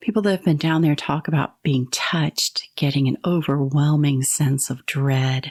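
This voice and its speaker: The speaker has an Appalachian accent. The recording is very clean, with a silent background. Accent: Appalachian US Southern. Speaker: podcast host. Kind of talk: casual podcast narration.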